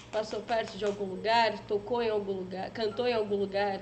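A woman keeps a moderate pace as noticeable background noise fills the space behind her. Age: 20s. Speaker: online show host. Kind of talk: casual chat.

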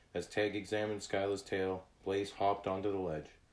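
What we hear is an unforced reading voice.

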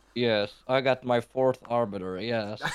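A man uses a put-on character voice that sounds strained. It sits at a medium pitch, with fairly even intonation at a fairly slow pace. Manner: through gritted teeth, strained.

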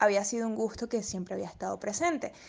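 A woman speaks with an ordinary speaking voice, a fairly high pitch and ordinary pitch variation. The background is quiet. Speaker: radio presenter and model. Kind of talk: interview.

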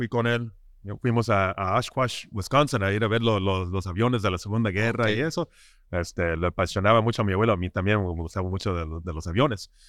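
The recording is very clean, with a silent background. A man with a slight American accent talks very fast, his pitch varying in an ordinary way. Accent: slight US-tinged accent in Spanish. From Southern California, with weekends in Ensenada. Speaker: craft brewer. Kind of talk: casual interview. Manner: halting, many repetitions and fillers.

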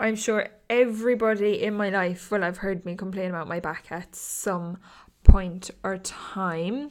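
Speaking with an Irish accent at a fairly slow pace, a woman is heard on a very clean recording with a silent background. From Ireland. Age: 20s. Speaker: podcast host. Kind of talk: casual solo chat.

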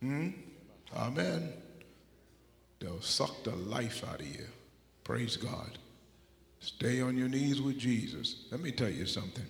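Using vocal fry and lively intonation, a man with a medium-pitched voice talks at a fairly slow pace with long, frequent pauses. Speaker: preacher. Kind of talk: sermon. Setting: church.

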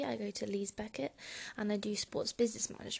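This woman's voice is somewhat breathy and fairly high, and she talks at a very fast pace. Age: 20s. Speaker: freelance writer and student podcaster. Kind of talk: solo podcast monologue, casual and conversational. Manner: casual, filler-heavy, slightly nervous first-time speaker.

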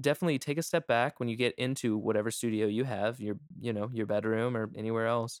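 A man's medium-pitched voice at a very fast pace, ordinary pitch variation, dry and close with no echo. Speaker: music producer podcast host. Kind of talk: casual chat. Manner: fast talker.

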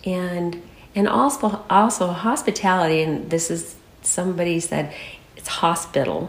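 A woman with an American accent and a fairly low pitch at a fairly slow pace, with ordinary pitch variation, big swings in loudness, audible room echo and noticeable background noise. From Michigan, US Midwest. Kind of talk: interview.

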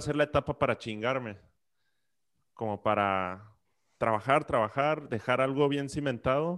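Recorded very cleanly over a silent background, a man speaks at medium pitch and a moderate pace with ordinary pitch variation. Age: 30s. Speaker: podcast co-host, psychologist. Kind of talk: casual chat.

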